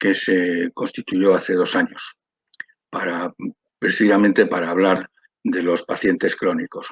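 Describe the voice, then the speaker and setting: The speaker is a man. His voice sounds dry and close, free of any echo. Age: 70s. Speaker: patient advocate and doctor. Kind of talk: panel talk. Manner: halting.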